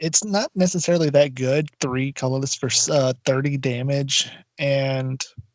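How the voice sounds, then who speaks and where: The sound is dry and close with no echo as a man speaks at a moderate pace with a fairly high pitch and fairly even intonation. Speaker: podcast co-host. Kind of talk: casual chat. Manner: soft-spoken. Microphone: poor audio, drowned out.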